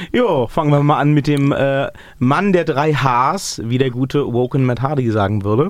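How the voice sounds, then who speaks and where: A man's fairly high voice at a moderate pace, with ordinary pitch variation and very even loudness. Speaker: wrestling podcast host. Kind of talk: casual banter. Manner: animated, joking.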